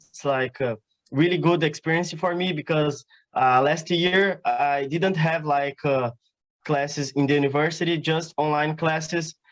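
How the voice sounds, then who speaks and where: A man with a Portuguese accent and a fairly high pitch speaks at a fairly slow pace. His intonation is fairly even, and the sound is dry and close with no echo. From southern Brazil, Paraná. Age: 20s. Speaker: exchange student. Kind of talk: interview. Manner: halting, many fillers.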